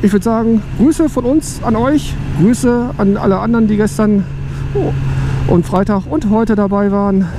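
Over clear background noise, a man talks at a high pitch and a moderate pace with ordinary pitch variation.

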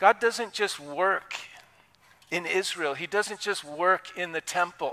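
A man speaks at a very slow pace in a high pitch. His pitch varies in an ordinary way. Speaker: pastor. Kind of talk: sermon. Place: church.

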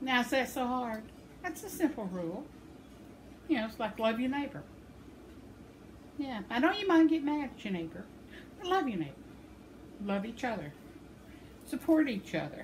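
At a moderate pace, a woman with a high voice talks with long, frequent pauses over light background noise. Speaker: crochet vlogger. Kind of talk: casual vlog chat. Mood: warm, cheerful. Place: home room. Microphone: phone near.

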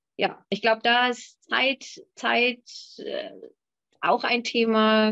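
The setting behind a woman is quiet. Her intonation stays fairly even. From Hamburg, Germany. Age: young. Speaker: winemaker; guest. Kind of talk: panel discussion. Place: home room. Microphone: video call.

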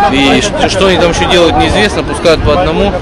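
Crowd noise sits in the background as a man speaks in a dry sound with no echo. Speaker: travel vlogger. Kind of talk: casual vlog chat. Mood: mildly disapproving, wry. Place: street. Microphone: phone near.

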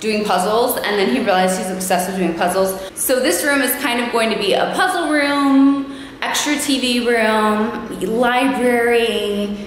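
Light background noise and audible room echo surround the speech. It comes at a fairly slow pace with ordinary pitch variation. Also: woman. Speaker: homeowner vlogger. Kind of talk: casual vlog chat. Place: empty room. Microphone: phone near.

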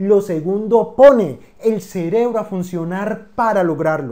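Over a quiet background, the voice has a dark, mellow tone, moving at a fairly slow pace with ordinary pitch variation. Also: man. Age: 30s. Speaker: finance educator. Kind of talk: scripted narration. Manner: formal. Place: home room. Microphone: lapel.

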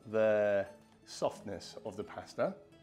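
A man speaks at a very slow pace over faint music in the background. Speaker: home cook host. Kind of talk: cooking tutorial. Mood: warm, nostalgic, cheerful. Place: kitchen.

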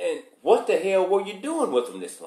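Speaking in a Southern US accent, a man moves at a fairly quick pace. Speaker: news commentator. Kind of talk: news commentary monologue. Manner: opinionated, informal.

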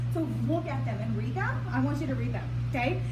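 Through loud background noise, a woman talks at a fairly quick pace. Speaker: sales consultant hosting a party. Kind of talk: sales presentation. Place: hall. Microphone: camera far.

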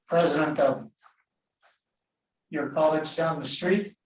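A man's voice carries audible room echo over light background noise. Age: 80s+. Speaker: neighboring property owner; public commenter. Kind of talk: public testimony. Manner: halting. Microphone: video call.

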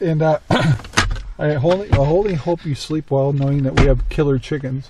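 Fairly high male voice with a dark, mellow tone, ordinary pitch variation and a moderate pace

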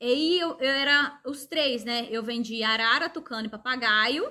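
Her pitch high and swinging very widely, a woman speaks over a quiet background. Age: 40s. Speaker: craft artisan and workshop owner. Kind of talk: personal story monologue to viewers. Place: workshop. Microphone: phone near.

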